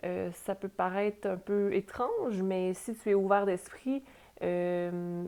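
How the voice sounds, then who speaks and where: A woman speaks very slowly at a medium pitch with a Quebec accent. Her tone is dark and mellow, her intonation monotone and flat. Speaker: tarot reader and spiritual guide. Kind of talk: tarot reading. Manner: hesitant, many fillers. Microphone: new small microphone.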